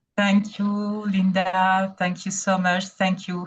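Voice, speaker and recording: Somewhat breathy and medium in pitch, a woman with a strong French accent speaks at a very slow pace. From Burkina Faso. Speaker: independent evaluator. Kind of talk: webinar presentation. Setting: online webinar. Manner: hesitant, many fillers.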